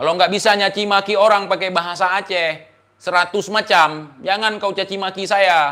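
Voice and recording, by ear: A man speaks at a moderate pace with a high pitch, a bright, sharp tone and fairly even intonation.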